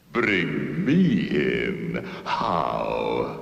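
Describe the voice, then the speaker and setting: A man's cartoonish character voice in a theatrical tone, with clear echo. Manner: gloating, theatrical.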